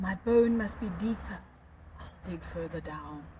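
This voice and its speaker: A woman performs a put-on character voice at a moderate pace. Clear background noise is present. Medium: read story. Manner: polite, determined.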